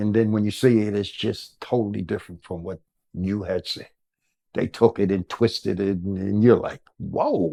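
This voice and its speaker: A man speaks with an American accent in a fairly low pitch and a dark, mellow tone. The sound is dry and close with no echo, over a quiet background. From New Jersey, US. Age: 70s. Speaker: former political activist, father of a famous rapper. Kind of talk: interview. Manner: rambling, conversational; animated.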